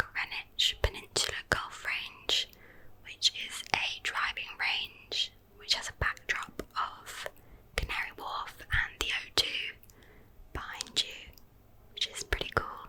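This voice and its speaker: Calm, very slow whispering with long, frequent pauses and big swings in loudness, over noticeable background noise. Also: woman. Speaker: ASMR creator. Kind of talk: whispered ramble about favourite London activities. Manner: whispered, calm, intimate.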